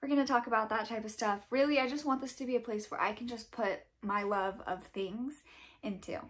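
A woman speaks in a fairly high voice with ordinary pitch variation over a quiet background. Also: fairly quick pace. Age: 20s. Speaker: book and lifestyle YouTuber; channel host. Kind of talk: casual vlog monologue. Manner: casual, with filler words. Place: home room.

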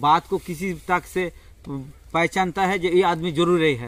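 A man speaks at a high pitch with ordinary pitch variation. The sound is dry, with no echo. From West Bengal, South 24 Parganas; West Bengal. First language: Bengali (speaking Hindi). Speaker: farmer. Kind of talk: casual interview. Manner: halting. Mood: earnest, persuasive. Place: farm machine. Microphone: phone near.

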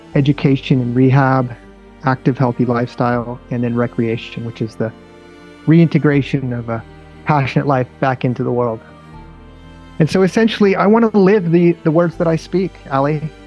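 Over faint background music, a man speaks at a moderate pace, with long, frequent pauses. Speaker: interview guest. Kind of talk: interview answer. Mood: earnest, purposeful. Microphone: earbuds.

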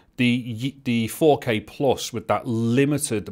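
In a very clean recording with a silent background, a man speaks at a fairly slow pace with fairly low pitch and fairly even intonation.

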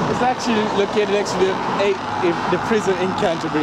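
The recording has loud background noise. The sound is dry, with no echo. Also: man. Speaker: student ambassador tour guide. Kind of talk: casual tour commentary. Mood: cheerful, relaxed. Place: street. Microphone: phone near.

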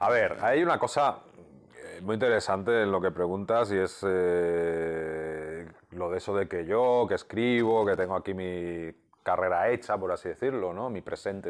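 Against a quiet background, a man with a very deep, low voice speaks at a fairly slow pace with ordinary pitch variation. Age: 50s. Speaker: comic book writer. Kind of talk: interview. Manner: halting, many repeated words. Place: home room. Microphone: lapel.

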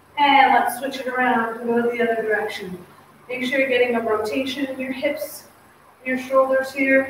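In a room with strong echo and light background noise, a woman talks at a moderate pace with a high pitch and fairly even intonation. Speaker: fitness instructor. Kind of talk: workout instruction. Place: gym. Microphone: camera far.

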